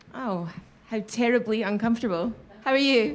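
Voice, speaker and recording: Crowd noise fills the background. A woman speaks at a fairly high pitch. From Glasgow, Scotland. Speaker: voice actor. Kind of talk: live storytelling performance. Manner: comedic, animated.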